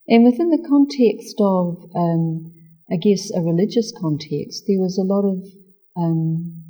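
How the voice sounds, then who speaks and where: A woman with a New Zealand accent speaks fairly slowly in a dark, mellow, somewhat breathy tone. Her intonation is lively. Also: medium pitch for a woman. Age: 60s. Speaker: spiritual practitioner. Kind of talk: interview.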